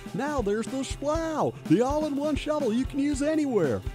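In a put-on character voice, a man speaks with an extremely high pitch at a moderate pace. Clear music plays in the background. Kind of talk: commercial. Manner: exaggerated, pitchy.

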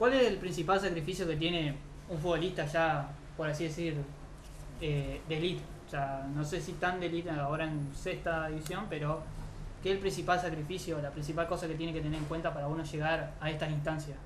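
A man's fairly high voice, fairly even intonation and fairly quick pace, with noticeable background noise. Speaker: youth football channel host. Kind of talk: casual interview.

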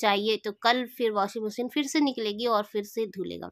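Recorded very cleanly against a silent background, a woman with a bright, sharp tone talks at a moderate pace in a dry, close sound with no echo. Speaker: family vlogger. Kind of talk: casual vlog narration.

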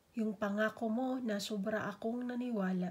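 A woman uses a dramatic tone in a fairly high, somewhat breathy voice, speaking at a fairly slow pace with ordinary pitch variation. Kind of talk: spoken poetry; heartfelt personal monologue. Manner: emotive, slow and measured with dramatic pauses; wistful, tender, turning hurt then hopeful.

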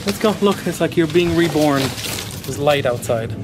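With faint background noise, a man speaks slowly at a fairly high pitch, using lively intonation and a slightly mellow tone.

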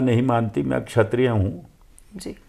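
A man speaks very slowly in a dark, mellow tone. The background is quiet. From Himachal Pradesh, Kullu; Himachal Pradesh. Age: 70s. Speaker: veteran politician; politician interviewee. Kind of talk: interview. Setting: at his residence. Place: home room. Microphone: lapel.

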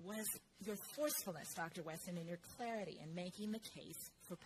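Over noticeable background noise, a woman speaks at a fairly quick pace in a fairly low pitch. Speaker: conference host introducing speaker. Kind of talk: speaker introduction. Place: hall. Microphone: podium.

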